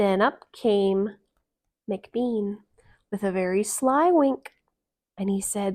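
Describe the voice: Speaking slowly at a medium pitch, a woman has a slightly mellow tone and ordinary pitch variation.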